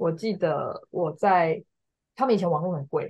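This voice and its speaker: A woman with a dark, mellow tone. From Taiwan. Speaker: graduate student. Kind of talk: casual interview.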